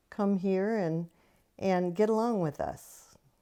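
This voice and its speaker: Speaking with an American accent, a woman uses a medium pitch and ordinary pitch variation in a dark, mellow tone. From Minnesota, US Midwest. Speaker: local resident. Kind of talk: documentary interview.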